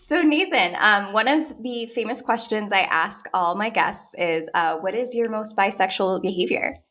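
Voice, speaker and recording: Very wide swings of pitch from a woman, set against noticeable background noise. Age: 30s. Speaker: podcast host. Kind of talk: casual chat.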